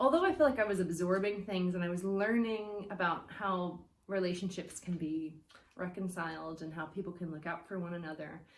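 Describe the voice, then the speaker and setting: American-accented female speech with audible room echo. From United States. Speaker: church guest speaker. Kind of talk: testimony. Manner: hesitant with fillers.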